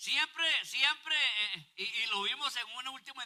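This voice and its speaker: The voice is raised and projected, with lively intonation. It moves at a fairly slow pace. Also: man. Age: 60s. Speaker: pastor. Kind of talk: sermon.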